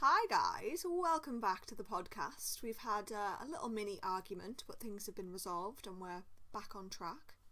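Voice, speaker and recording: A woman with a bright, sharp tone and medium pitch speaks at a moderate pace with hardly any pauses. Her intonation is lively, and her loudness swings widely. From northeast England, Durham area. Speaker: podcast co-host. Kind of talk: casual chat.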